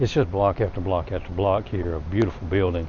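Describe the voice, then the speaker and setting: At a fairly quick pace, a man with an American accent talks in a fairly low, somewhat breathy voice. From US South, small town. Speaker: travel vlogger. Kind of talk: walking tour narration. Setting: outdoors. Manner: casual, relaxed.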